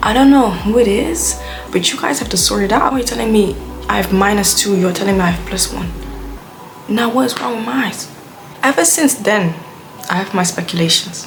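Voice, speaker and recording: A woman with a Dutch accent, medium pitch and lively intonation, at a fairly quick pace with long, frequent pauses, amid noticeable background noise and audible room echo. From Belgium (Dutch-speaking). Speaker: YouTuber. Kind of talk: casual vlog rant. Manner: animated.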